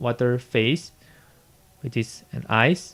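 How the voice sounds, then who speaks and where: With a non-native accent, a man is talking. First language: not English. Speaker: physics teacher. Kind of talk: classroom lecture, tutorial explanation.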